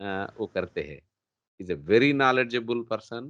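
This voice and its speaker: A man with a non-native accent speaks at a medium pitch with ordinary pitch variation. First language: not Hindi (speaking Hindi). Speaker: show host. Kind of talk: interview. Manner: hesitant, mixing Hindi and English.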